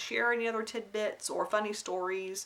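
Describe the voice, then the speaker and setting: With an American accent, a woman is talking. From US South, Alabama then North Carolina. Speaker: craft vlogger. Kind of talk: casual vlog monologue. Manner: hesitant, many fillers.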